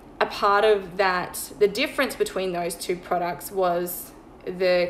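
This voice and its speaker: A woman with a medium pitch and fairly even intonation talks as noticeable background noise carries on behind her. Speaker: online money mindset coach. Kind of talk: sales pitch. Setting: Instagram live stream. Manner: fast.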